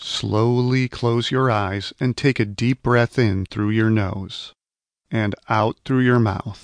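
Speaking very slowly in a calm, soothing tone, a man with a medium pitch keeps very even loudness and fairly even intonation in a dry, close sound with no echo against a quiet background. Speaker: audiobook narrator. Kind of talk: guided meditation. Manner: slow, calm, soothing; gentle, soft-spoken, with long pauses.

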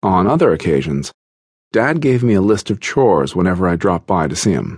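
A man talks at a moderate pace in a very deep, low voice. The sound is dry and close, with no echo. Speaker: audiobook narrator. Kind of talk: audiobook narration, first-person memoir reading. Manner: measured, steady narrator pace; earnest, confessional tone.

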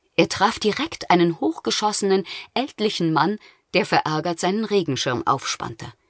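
A woman's animated, grumpy tone at a medium pitch, lively intonation, and dry, close sound with no echo. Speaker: audiobook narrator. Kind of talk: audiobook narration of a children's fairy tale, dramatic storytelling. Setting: studio.

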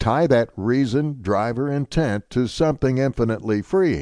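Against a quiet background, a man talks very slowly in a dark, mellow tone, his medium pitch making very wide swings. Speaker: audiobook narrator.

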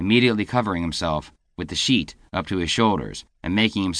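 Over a quiet background comes a natural reading voice whose pitch varies in an ordinary way.

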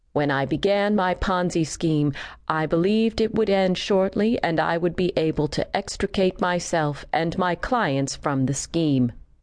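An ordinary speaking voice at a fairly slow pace, with ordinary pitch variation and a quiet background. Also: woman. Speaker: audiobook narrator. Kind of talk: scripted courtroom narration, read aloud as a true-crime audiobook. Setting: studio. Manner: measured, solemn, formal.

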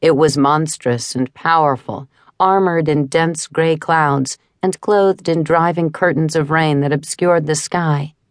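Speaking at a fairly slow pace with very even loudness, a woman delivers an intense, dramatic tone in a very deep, low pitch, with fairly even intonation and a dry, close sound with no echo. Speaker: audiobook narrator. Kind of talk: dramatic fantasy audiobook narration, reading a storm-at-sea scene. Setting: studio. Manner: intense, building dramatic tension through vivid storm imagery.

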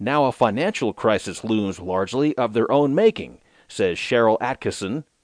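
This man has an ordinary speaking voice at medium pitch, talking at a moderate pace in a dry, close sound with no echo against a quiet background. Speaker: audiobook narrator reading news digest. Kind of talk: news reading, steady and formal, scripted headlines and articles read aloud. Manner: formal; measured, even-paced, neutral.

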